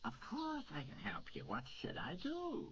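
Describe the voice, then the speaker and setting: A cartoonish character voice comes through over clear background noise. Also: fairly slow pace. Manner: cheerful, joking.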